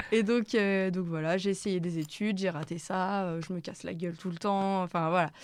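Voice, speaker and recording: A woman speaks at medium pitch and a moderate pace with fairly even intonation and hardly any pauses, on a very clean recording with a silent background. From Brittany, France. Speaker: singer-songwriter. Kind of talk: radio interview. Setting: radio studio. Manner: hesitant, many fillers; casual, slangy.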